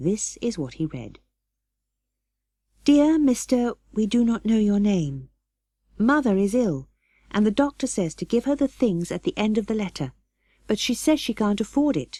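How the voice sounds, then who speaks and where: On a very clean recording with a silent background, a woman with a dark, mellow, somewhat breathy tone speaks with very wide pitch swings and long, frequent pauses, in a dry, close sound with no echo. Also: fairly high pitch for a woman, moderate pace. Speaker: audiobook narrator. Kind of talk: audiobook reading of a classic children's novel.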